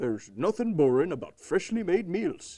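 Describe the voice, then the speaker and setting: A man does a cartoonish character voice, high-pitched. His pace is moderate. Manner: mild, nervous.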